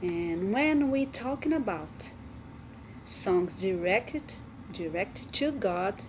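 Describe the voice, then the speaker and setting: A woman of medium pitch with a Brazilian Portuguese accent, lively intonation and a very slow pace. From Brazil, Amazonas. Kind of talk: devotional talk. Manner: halting.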